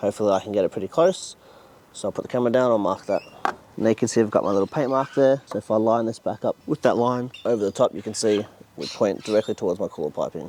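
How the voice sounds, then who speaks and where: The dark, mellow voice of a man comes at a very fast pace in a medium pitch, with ordinary pitch variation and a dry, close sound with no echo. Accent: Australian. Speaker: car builder YouTuber. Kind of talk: workshop vlog tutorial.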